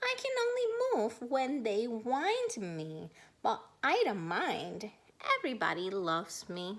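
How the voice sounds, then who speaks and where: A woman puts on a character voice, pitched fairly high and delivered at a fairly slow pace. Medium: read story.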